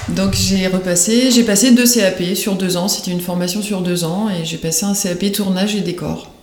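Over noticeable background noise, a woman with a medium pitch speaks at a moderate pace with hardly any pauses. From Paris region (Yvelines), France. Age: 40s. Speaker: career changer, craftswoman. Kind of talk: interview. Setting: her home workshop.

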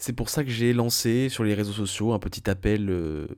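A man's dark, mellow tone sits at a fairly low pitch with ordinary pitch variation. The recording is very clean, with a silent background. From France. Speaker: video game podcaster. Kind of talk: solo monologue. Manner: casual, informal.

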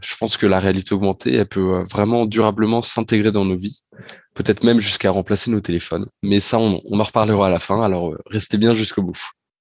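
An ordinary speaking voice from a man, fairly low in pitch, with fairly even intonation, a moderate pace and a quiet background. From Normandy, France (Rouen). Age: 20s. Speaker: business school student, augmented reality enthusiast. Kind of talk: podcast interview.

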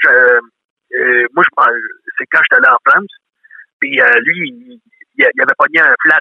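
A man talks at a fairly slow pace. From Quebec, working-class neighbourhood. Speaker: comedian. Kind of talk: interview.

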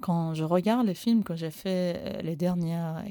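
Speaking fairly slowly with a Persian accent, a woman uses a dark, mellow tone at medium pitch and fairly even intonation. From Iran. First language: Persian (speaking French). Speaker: animation filmmaker. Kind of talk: recorded voice message. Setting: basement studio. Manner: halting.

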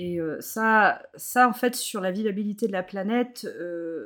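A woman's normal speaking voice, a normal speaking voice, at a medium pitch with ordinary pitch variation, in a very clean recording with a silent background. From Brittany, France (Morbihan, near Carnac). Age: 30s. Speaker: zero-waste practitioner. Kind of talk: casual interview.

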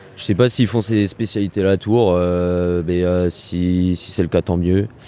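This man's voice has a very deep, low pitch with ordinary pitch variation. He speaks at a very slow pace. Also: long, frequent pauses. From France, Loiret countryside near Orléans. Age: 20s. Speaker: university student. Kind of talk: interview. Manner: hesitant, with many fillers.

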